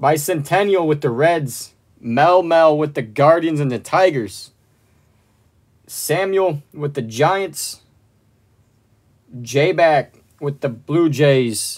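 Against a quiet background, a man speaks very slowly, with long, frequent pauses. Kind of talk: live stream card break commentary. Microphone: phone near.

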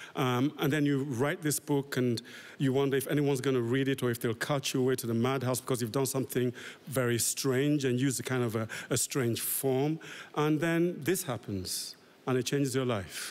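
At a moderate pace, a man talks with fairly even intonation and very even loudness. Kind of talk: interview answer. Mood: reflective, fond. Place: stage. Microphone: podium.

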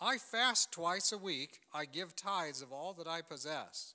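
A man's raised, projected voice, bright and sharp, at a fairly slow pace with ordinary pitch variation against a quiet background. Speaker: pastor. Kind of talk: sermon. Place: church.

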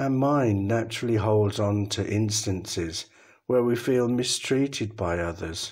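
A man with an English accent, calm in tone, at a fairly slow pace. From England. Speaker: Buddhist monk, meditation guide. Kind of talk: guided meditation. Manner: calm, slow.

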